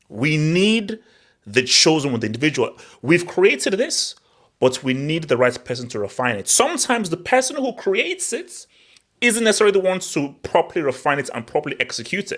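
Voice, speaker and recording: Animated in tone, a man races along at a very fast pace in a high voice with very wide pitch swings. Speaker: football podcast host. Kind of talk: heated football debate, live hangout. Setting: online live stream hangout. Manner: animated, fast talker.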